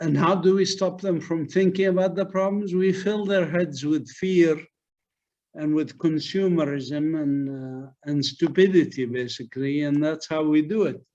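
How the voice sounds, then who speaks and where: A man speaks at a fairly slow pace in a fairly high pitch, his tone dark and mellow, with ordinary pitch variation. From Palestine, Beit Sahour near Bethlehem. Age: 60s. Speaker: biologist and activist speaker. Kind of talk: webinar lecture.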